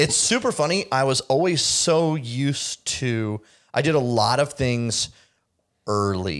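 A man speaks at a fairly slow pace with lively intonation and very even loudness, in an ordinary speaking voice. The recording is very clean, with a silent background. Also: medium pitch for a man. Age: 30s. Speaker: podcast host. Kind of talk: casual chat.

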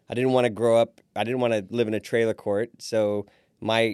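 A man's fairly low voice, a plain, everyday voice with an American accent and fairly even intonation, at a moderate pace, in a very clean recording with a silent background and a dry, close sound with no echo. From Fort Wayne, Indiana. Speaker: restaurant owner. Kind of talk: interview.

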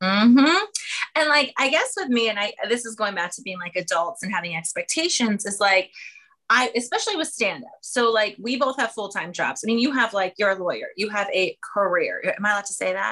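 Talking at a fairly quick pace, a woman with an American accent has fairly high pitch. Her tone is bright and sharp, and her intonation is lively. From south central Pennsylvania. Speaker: comedian. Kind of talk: casual chat.

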